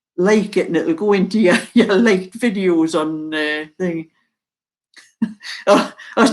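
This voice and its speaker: Someone speaks at a fairly slow pace with a Geordie accent, leaving long, frequent pauses. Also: woman, medium pitch for a woman, ordinary pitch variation. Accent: mild Geordie. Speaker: video tutorial maker.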